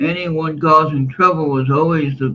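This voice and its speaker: A man with a fairly high pitch speaks at a moderate pace. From US West Coast, San Francisco Bay Area (Oakland, Hayward). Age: 60s. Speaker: livestreamer. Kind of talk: casual livestream monologue. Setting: live stream. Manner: opinionated, emphatic.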